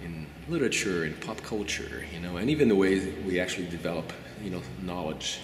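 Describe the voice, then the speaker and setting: Noticeable background noise sits behind a man's very deep, low voice. He keeps a moderate pace. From Brazil. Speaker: qualitative researcher. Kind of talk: interview answer. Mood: reflective, thoughtful. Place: hall.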